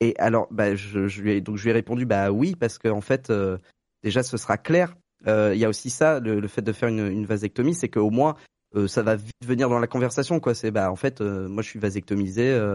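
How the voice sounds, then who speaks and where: With an unremarkable speaking voice, a man talks at a fairly quick pace and fairly low pitch with ordinary pitch variation, the sound dry and close with no echo against a quiet background. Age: 30s. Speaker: guest sharing vasectomy experience. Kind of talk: testimony.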